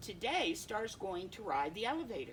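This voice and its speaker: A woman in a put-on character voice, fairly high in pitch, at a moderate pace amid clear background noise. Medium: read story.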